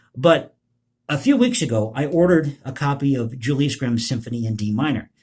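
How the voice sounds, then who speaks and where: The voice is somewhat breathy and has an American accent. It moves at a fairly quick pace. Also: man, medium pitch for a man, ordinary pitch variation, very clean recording, silent background. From United States. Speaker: political commentary youtuber, composer. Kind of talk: casual vlog commentary.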